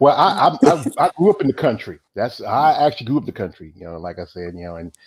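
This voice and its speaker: Very fast speech with a Southern US accent, very wide pitch swings, big swings in loudness and vocal fry, on a very clean recording with a silent background. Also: man, medium pitch for a man. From US South, North Carolina. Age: 40s. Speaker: interviewer. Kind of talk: casual interview.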